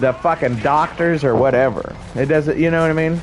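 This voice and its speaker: Noticeable background noise runs under the recording. A man with a fairly high pitch talks at a fairly quick pace. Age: 30s. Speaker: video game streamer. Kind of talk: live gameplay stream chat. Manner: casual, halting with repetitions.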